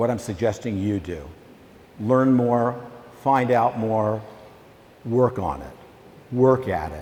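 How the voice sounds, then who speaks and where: A loud man with an American accent, speaking very slowly with long, frequent pauses, over noticeable background noise. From Virginia, US South. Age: old. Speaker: documentary filmmaker. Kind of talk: school talk to students.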